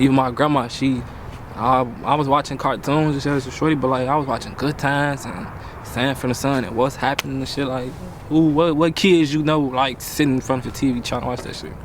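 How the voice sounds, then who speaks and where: Over noticeable background noise, a man talks fairly quickly at a medium pitch in a flat monotone. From Chicago. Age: 20s. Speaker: young actor. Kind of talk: casual interview. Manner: casual, slangy.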